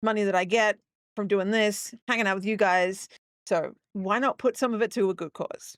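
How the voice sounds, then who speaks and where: A woman with an Australian accent speaks at a medium pitch and moderate pace, with fairly even intonation. The very clean recording has a silent background and a dry, close sound with no echo. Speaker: gaming streamer. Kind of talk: casual live-stream chat. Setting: live stream. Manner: halting, many fillers.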